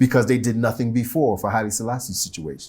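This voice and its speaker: Recorded very cleanly against a silent background, a man with an American accent speaks in a dark, mellow tone. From US Midwest (Ohio). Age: 60s. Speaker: poet and teacher. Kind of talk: interview. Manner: halting.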